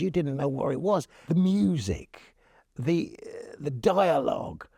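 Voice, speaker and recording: At a fairly slow pace, a man speaks with a West Country accent. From Devon, England (Torquay). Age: 60s. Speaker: local resident sharing memories. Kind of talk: interview testimony. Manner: halting.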